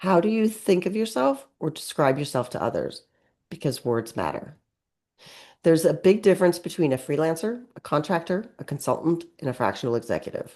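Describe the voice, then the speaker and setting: This woman talks at a fairly quick clip with a fairly low pitch and very wide pitch swings. Her tone is dark and mellow, and the background is quiet. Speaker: webinar presenter and author. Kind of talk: webinar presentation. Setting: online webinar. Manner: fast.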